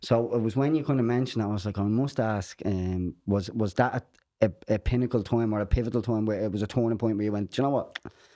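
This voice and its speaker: With an Irish accent, a man speaks at a very fast pace in a dark, mellow tone. His pitch is medium and his intonation fairly even. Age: 30s. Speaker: podcast host. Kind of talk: casual podcast chat.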